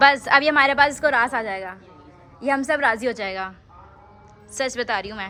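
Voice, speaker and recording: A woman's high-pitched voice with long, frequent pauses and music in the background. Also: ordinary pitch variation, moderate pace. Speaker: vlogger. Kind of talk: casual vlog chat.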